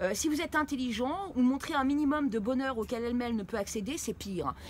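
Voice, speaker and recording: A woman speaks at a very fast pace in a high pitch. Noticeable background noise runs underneath. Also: ordinary pitch variation. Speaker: YouTube commentator on occult scams. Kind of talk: commentary video. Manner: halting, many fillers.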